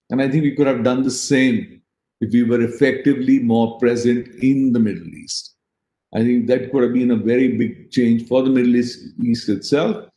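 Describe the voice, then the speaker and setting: Amid audible room echo, a man with a dark, mellow tone speaks at a moderate pace with fairly even intonation. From India. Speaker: politician and business executive; politician. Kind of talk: panel discussion. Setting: video call. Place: home room. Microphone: video call.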